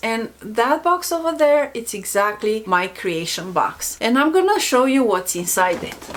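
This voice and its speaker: A woman with a non-native accent speaks at a fairly slow pace. Her fairly high pitch moves in very wide swings. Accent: foreign. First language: not English. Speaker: self-help youtuber. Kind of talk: casual vlog talk.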